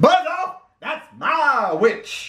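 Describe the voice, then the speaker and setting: A man puts on a character voice at an extremely high pitch. It comes out shrill, croaky and growling. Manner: wet, squelching and menacing.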